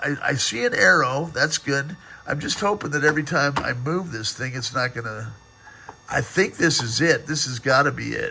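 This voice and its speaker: A man with a fairly high voice talks at a moderate tempo, his pitch varying in an ordinary way, while noticeable noise sits in the background. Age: 60s. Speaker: vintage computer restorer. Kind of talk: casual video demo. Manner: rambling with many fillers.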